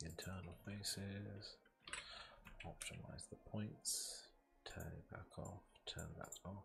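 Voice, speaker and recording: A quiet man at a very slow pace, with long, frequent pauses. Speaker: streamer making animation. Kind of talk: casual live stream chat while working. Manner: speaking very quietly; halting, thinking aloud. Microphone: microphone moved closer for quiet voice.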